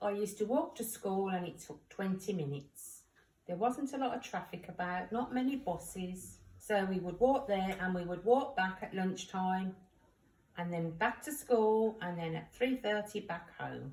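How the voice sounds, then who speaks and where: A woman talks at a moderate pace with a medium pitch and lively intonation. Her voice is somewhat breathy. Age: 60s. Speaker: grandmother talking to a school class. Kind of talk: home-learning talk for children.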